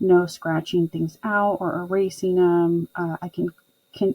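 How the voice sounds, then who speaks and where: The voice moves at a moderate pace, recorded with a dry, close sound with no echo. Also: woman. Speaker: homeschooling parent and planner vlogger. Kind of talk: casual vlog walkthrough. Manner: monotone.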